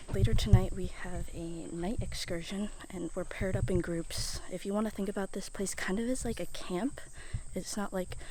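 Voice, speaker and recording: A woman speaks at a moderate pace with audible room echo around her voice. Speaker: travel vlogger. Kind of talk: travel vlog. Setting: outdoors in rainforest; hotel room. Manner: soft-spoken in many clips.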